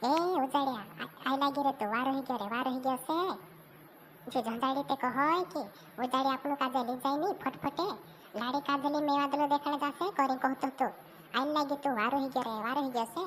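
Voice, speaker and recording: In a cartoonish character voice, a woman speaks at a fairly quick pace with a high pitch over clear background noise. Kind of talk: comic village cartoon.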